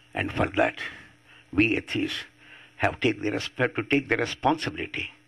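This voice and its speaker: A man speaks with an Indian accent. His pace is moderate. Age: 80s+. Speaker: atheist activist. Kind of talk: public talk.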